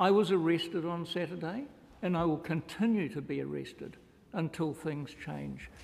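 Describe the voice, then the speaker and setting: This man's voice sits high in pitch, with ordinary variation in it. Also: moderate pace. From New Zealand. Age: 60s. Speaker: climate activist; public witness. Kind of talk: public testimony. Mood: earnest, urgent. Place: meeting room. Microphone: podium.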